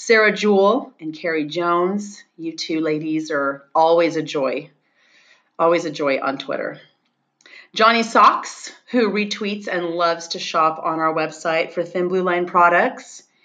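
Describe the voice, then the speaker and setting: A woman with an American accent has an unremarkable speaking voice, fairly low in pitch, moving at a fairly slow pace with ordinary pitch variation. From California. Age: 50s. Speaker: podcast host, former police officer and crime scene investigator. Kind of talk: casual interview chat.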